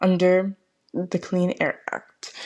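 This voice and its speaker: A woman speaks with a dark, mellow tone at a medium pitch. The recording is very clean, with a silent background. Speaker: student presenter of a project. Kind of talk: scripted podcast presentation of a project. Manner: some stuttering and hesitations.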